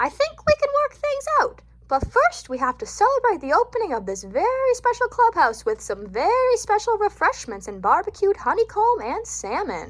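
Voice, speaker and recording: A woman speaks in a put-on character voice pitched extremely high. Her pace is moderate, with hardly any pauses. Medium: read story. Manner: gentle, reasoning.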